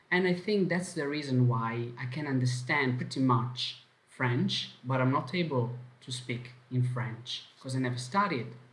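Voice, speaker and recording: A man with a strong Italian accent and a medium pitch talks at a fairly slow pace, with ordinary pitch variation. Room echo is audible. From Italy. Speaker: language teacher. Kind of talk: online lesson.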